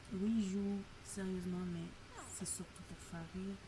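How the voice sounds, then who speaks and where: A soft-spoken woman at a very slow pace, with audible room echo and noticeable background noise. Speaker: streamer. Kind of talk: casual gameplay stream chat. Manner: hesitant, many fillers.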